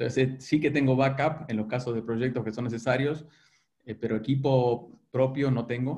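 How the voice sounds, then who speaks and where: A man speaks at a moderate pace with fairly even intonation in a dark, mellow, somewhat breathy tone. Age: 50s. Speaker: business consultant and executive coach. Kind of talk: interview.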